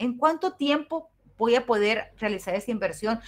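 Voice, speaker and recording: The speaker's tone is animated. Pitch varies in an ordinary way. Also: woman. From Mexico, Los Mochis, Sinaloa; Sinaloa, Mexico. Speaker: university teacher. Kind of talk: online class lecture. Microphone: webcam.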